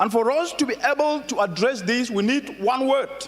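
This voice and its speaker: A man speaks at a fairly slow pace with an extremely high pitch, lively intonation and an animated tone. Noticeable background noise runs underneath. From Africa. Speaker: keynote speaker. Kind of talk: conference keynote speech. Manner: animated, rhetorical.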